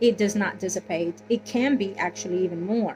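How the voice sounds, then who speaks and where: Over music in the background, a woman speaks at a fairly slow pace and medium pitch with fairly even intonation. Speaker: tarot reader. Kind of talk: tarot reading. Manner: halting.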